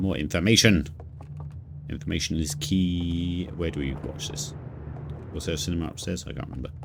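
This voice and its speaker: A very deep, low-pitched man's voice at a fairly quick pace with long, frequent pauses, audible room echo, and noticeable background noise. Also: ordinary pitch variation. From southern England. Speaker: video game streamer. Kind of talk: live gameplay commentary.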